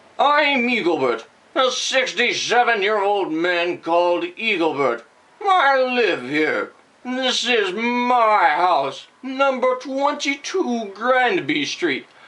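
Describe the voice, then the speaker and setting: In a put-on character voice, a woman speaks very slowly at a fairly high pitch, her pitch swinging very widely. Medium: read story. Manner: flustered.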